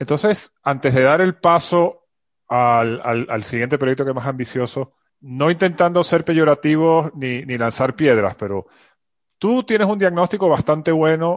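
An unremarkable speaking voice from a man, fairly high-pitched, with lively intonation, at a fairly slow pace against a quiet background. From Venezuela. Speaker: podcast host. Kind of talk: interview.

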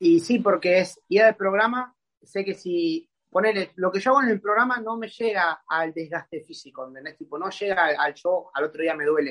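A man in an Argentine accent speaks slowly-ish at a fairly slow pace and a high pitch, with ordinary pitch variation and big swings in loudness. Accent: Rioplatense Argentine Spanish. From Argentina, Buenos Aires conurbano. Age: 20s. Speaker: calisthenics athlete. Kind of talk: casual interview chat. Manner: halting, repeats words.

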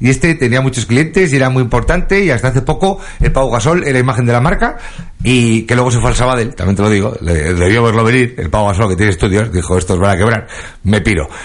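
Amid noticeable background noise, a man talks at a very fast pace in an animated tone with lively intonation and very even loudness. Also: medium pitch for a man. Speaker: radio comedy host. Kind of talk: comedic radio show.

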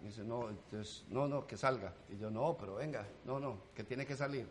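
A man at a moderate pace. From Colombia, rural. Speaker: comedian. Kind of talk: casual chat. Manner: animated.

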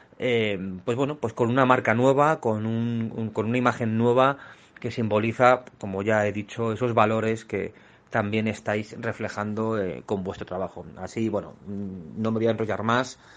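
A man's normal speaking voice at a medium pitch, fairly slow in pace and fairly even in intonation. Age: 40s. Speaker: illustrator. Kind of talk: recorded voice message.

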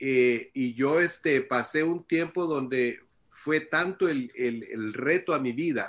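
The voice belongs to a man and is fairly high in pitch. An unremarkable speaking voice, with fairly even intonation. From El Salvador. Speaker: missionary. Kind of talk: testimony. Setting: video call.

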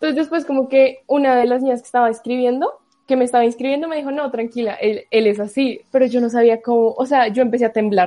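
A woman speaks high in pitch but dark and mellow in tone, with ordinary pitch variation. She goes at a very fast pace with hardly any pauses. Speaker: university student. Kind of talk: casual chat.

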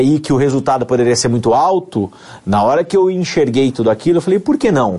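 This man's voice is fairly high, with a dark, mellow tone. He talks at a fairly quick pace with lively intonation. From São Paulo state interior (Amparo, near Campinas), Brazil. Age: 30s. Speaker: dentist turned network marketer. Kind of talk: testimony.

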